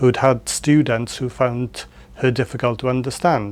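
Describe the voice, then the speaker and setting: The speaker has a South Wales accent. The intonation stays fairly even. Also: man. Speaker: lecturer in education. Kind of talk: interview answer.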